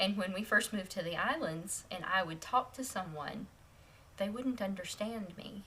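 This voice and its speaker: A woman with an American accent, medium pitch, ordinary pitch variation, and a moderate pace over noticeable background noise. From Tennessee. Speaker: former missionary wife, podcast co-host. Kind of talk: casual chat.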